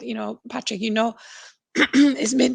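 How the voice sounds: Putting on a character voice, a woman speaks raspy and hoarse at a fairly high pitch and a fairly slow pace.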